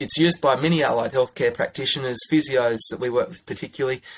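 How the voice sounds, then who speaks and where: With an Australian accent, a man talks at a medium pitch. His pitch variation is ordinary. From Australia, northern New South Wales. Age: 30s. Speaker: pharmacist. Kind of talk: interview.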